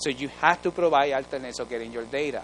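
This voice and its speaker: This man has a Spanish accent. His tone is animated. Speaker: research training officer. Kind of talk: conference presentation.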